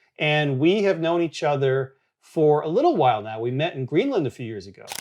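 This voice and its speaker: A man's ordinary speaking voice at fairly high pitch, with lively intonation and big swings in loudness. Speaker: photographer and photography educator. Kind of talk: interview. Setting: hotel on location.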